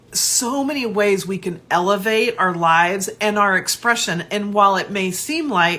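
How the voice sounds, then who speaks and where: A woman speaks at a fairly slow pace and a medium pitch. Her tone is animated, bright and sharp. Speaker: life coach hosting a live show. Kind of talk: live stream monologue to viewers. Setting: live video stream.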